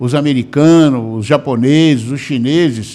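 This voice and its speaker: A man is speaking. His pace is fairly slow. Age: 60s. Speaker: lawyer and activist. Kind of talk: interview. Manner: halting, many filler words.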